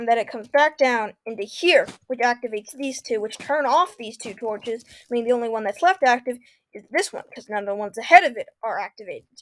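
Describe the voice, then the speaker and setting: A woman's high pitch at a very fast pace, with ordinary pitch variation, big swings in loudness and a dry, close sound without echo. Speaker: Minecraft YouTuber. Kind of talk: tutorial.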